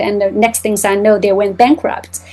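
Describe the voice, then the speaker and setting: A Chinese accent at a moderate pace, with noticeable background noise. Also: woman. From China, Shanghai. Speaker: botanical illustrator and business owner. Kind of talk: interview testimony. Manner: halting, with fillers.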